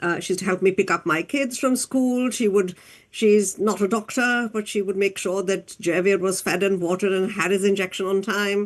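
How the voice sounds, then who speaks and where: Against a quiet background, a woman with a plain, everyday voice speaks at a moderate pace and medium pitch with fairly even intonation. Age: 60s. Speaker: doctor and diabetes advocate. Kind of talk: interview.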